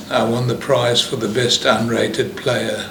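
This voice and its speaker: Fairly slow male speech over noticeable background noise. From South Africa. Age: 80s+. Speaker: chess player. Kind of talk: interview answer. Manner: hesitant, with many fillers.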